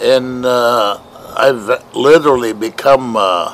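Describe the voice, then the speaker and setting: A man talks at a medium pitch. Background noise is noticeable. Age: 70s. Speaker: diabetes awareness walker. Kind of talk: testimony. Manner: halting, many fillers.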